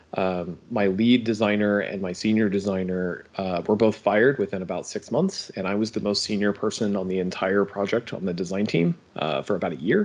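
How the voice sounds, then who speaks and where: With an American accent, a man in an unremarkable speaking voice talks at a fairly quick pace with hardly any pauses, a fairly low pitch and fairly even intonation. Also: quiet background. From United States. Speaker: game studio co-founder. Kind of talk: interview.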